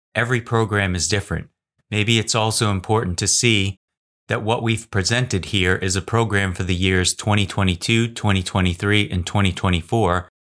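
Here is an ordinary speaking voice from a man at a fairly low pitch and a fairly quick pace. His loudness is very even, his intonation fairly even, and the recording very clean with a silent background. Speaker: news podcast co-host. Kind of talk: formal newsreading, scripted headline summaries. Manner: formal, even, measured.

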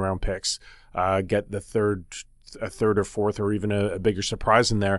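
A man's plain, everyday voice, fairly low in pitch and fairly quick, against a quiet background. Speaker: sports journalist and podcast host. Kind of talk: casual sports talk podcast.

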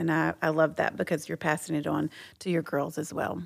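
In a very clean recording with a silent background, a woman with a fairly low pitch and vocal fry talks at a fairly quick pace in a monotone, flat intonation. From Texas. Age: 40s. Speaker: host's wife. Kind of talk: casual chat.

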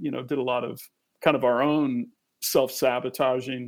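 Speaking at a moderate pace, a man uses a normal speaking voice with a medium pitch. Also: very clean recording, silent background. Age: 50s. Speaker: musician and producer. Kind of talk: interview.

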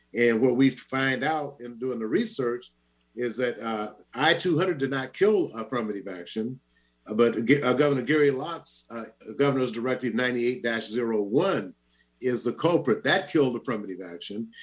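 Music plays in the background as a man with a medium pitch talks at a moderate pace, his pitch varying in an ordinary way. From US Pacific Northwest (Seattle), born in Louisiana. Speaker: radio talk show host. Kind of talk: radio interview.

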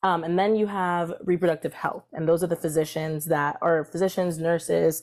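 Over music in the background, a woman with an American accent talks at a fairly quick pace in a flat, monotone way. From Maryland, US (Columbia, between Baltimore and DC). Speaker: reproductive justice organizer. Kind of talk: interview.

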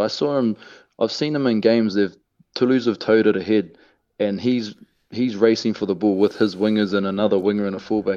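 Here a man speaks with a New Zealand accent in a fairly low pitch. His intonation stays fairly even against a quiet background. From New Zealand, Hamilton (Waikato). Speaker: professional rugby player. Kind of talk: radio interview, casual.

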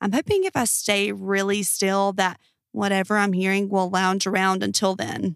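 A woman's medium-pitched, monotone, flat voice at a fairly slow pace, dry and close with no echo. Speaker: podcast host reading Reddit stories. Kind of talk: scripted true-crime horror narration, reading listener-style Reddit stories aloud.

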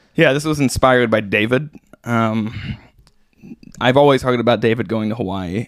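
With an American accent and vocal fry, a man speaks at a medium pitch and a fairly quick pace, his pitch varying in an ordinary way. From US Midwest, Branson, Missouri. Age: 20s. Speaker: pro downhill skateboarder. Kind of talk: casual chat.

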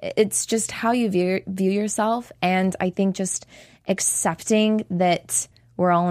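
Flat and monotone, a woman speaks at a fairly slow pace on a very clean recording with a silent background. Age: 20s. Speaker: professional dancer and choreographer. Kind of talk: interview. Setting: studio.

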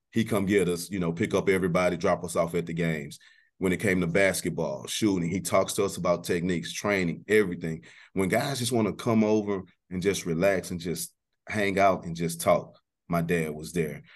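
With an American accent, a man speaks at a fairly quick pace in a very deep, low pitch, his pitch varying in an ordinary way against a quiet background. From Texas, North Houston. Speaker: middle school athletic coordinator and coach. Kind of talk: casual interview. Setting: studio. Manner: animated.

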